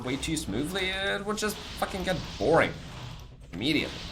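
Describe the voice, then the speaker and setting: A man with a non-native accent speaks at a fairly quick pace amid noticeable background noise and audible room echo. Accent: non-native English speaker. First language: non-English. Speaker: video game streamer. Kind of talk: live stream chat while gaming. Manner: casual, hesitant with repetitions.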